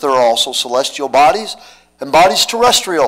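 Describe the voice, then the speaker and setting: The background stays quiet as a man talks. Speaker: pastor. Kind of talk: scripture reading in a sermon. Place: church. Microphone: podium.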